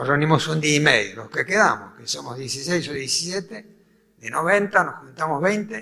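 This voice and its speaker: A man is talking. The intonation moves in a lively way. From Argentina, Buenos Aires. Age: 80s+. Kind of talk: talk to a faith group.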